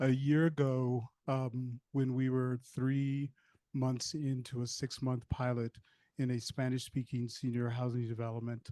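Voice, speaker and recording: A man of medium pitch speaks in a dark, mellow tone with monotone, flat intonation at a fairly slow pace. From Mississippi. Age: 60s. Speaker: yoga program leader. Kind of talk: panel discussion.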